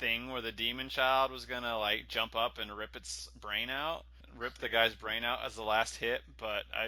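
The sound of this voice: This is an unforced reading voice. The intonation stays fairly even.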